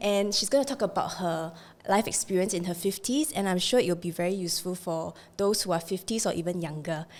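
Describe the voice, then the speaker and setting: At a fairly quick pace, a woman with an ordinary speaking voice talks in a medium pitch with ordinary pitch variation. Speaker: podcast host. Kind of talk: podcast host talk.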